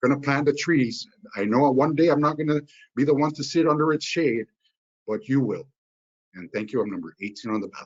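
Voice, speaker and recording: A man talks fairly quickly at a fairly high pitch with ordinary pitch variation. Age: 40s. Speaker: business owner and candidate. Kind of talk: campaign closing statement. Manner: halting, many fillers.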